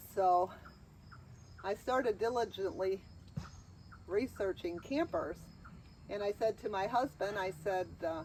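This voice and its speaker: Fairly slow delivery with vocal fry and long, frequent pauses. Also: woman. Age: 60s. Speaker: RV owner and video creator. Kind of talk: casual chat.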